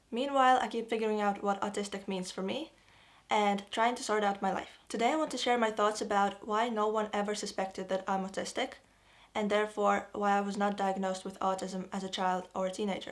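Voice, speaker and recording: A woman talks at a fairly quick pace in a Russian accent. Her pitch sits in the middle range with fairly even intonation. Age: 20s. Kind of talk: casual talk to camera.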